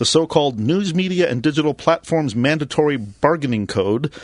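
A plain, everyday voice from a man, fairly high in pitch, with lively intonation and a dry, close sound with no echo. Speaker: co-host, news reader. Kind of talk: news reading with banter.

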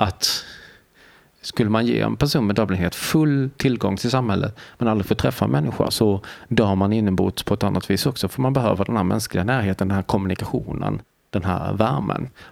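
Speaking at a moderate pace, a man with a fairly low pitch uses lively intonation and vocal fry while keeping his loudness very even. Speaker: deafblind artist, author and lecturer. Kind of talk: casual interview. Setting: hotel.

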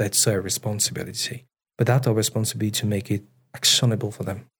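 At a very fast pace, a man talks in a somewhat breathy voice at a medium pitch. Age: 30s. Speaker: chief product officer. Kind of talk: interview conversation. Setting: studio.

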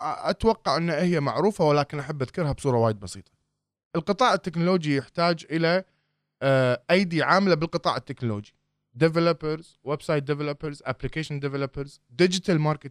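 The recording is very clean with a silent background. A man with a plain, everyday voice speaks at a moderate pace, fairly high in pitch with ordinary pitch variation. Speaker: startup accelerator founder. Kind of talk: interview.

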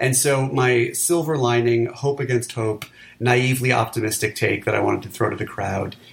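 Speaking at a moderate pace with an American accent, a man uses a medium pitch, fairly even intonation and a somewhat breathy sound. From New York City. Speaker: podcast host, film critic. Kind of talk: casual banter podcast about movies. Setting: home recording, remote.

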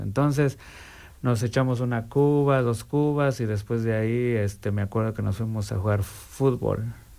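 Here is a man with an unremarkable speaking voice at a medium pitch. He keeps a moderate pace with lively intonation. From Mexico. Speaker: recovering alcoholic. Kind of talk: testimony.

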